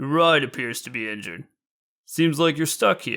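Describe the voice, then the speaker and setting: A man performs a gruff, raspy put-on character voice at a fairly high pitch and moderate pace, with big swings in loudness, on a very clean recording with a silent background. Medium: read story.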